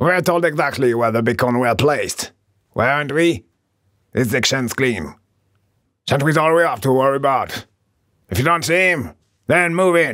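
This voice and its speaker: Over a silent background in a very clean recording, a man puts on a gravelly character voice, fairly high in pitch, at a moderate pace with long, frequent pauses. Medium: read story. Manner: gruff, bossy.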